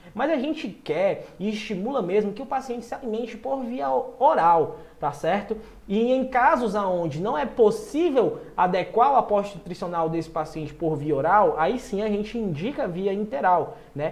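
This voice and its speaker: Amid noticeable background noise and audible room echo, a high-pitched man speaks at a moderate pace in an animated tone, his pitch swinging very widely. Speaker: nutrition exam-prep teacher. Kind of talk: online lecture. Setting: live stream.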